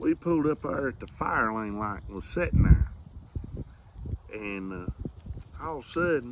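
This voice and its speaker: A man with a Southern US accent speaks at a fairly slow pace, with long, frequent pauses and big swings in loudness. Noticeable background noise is present. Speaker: storyteller. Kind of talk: storytelling to family.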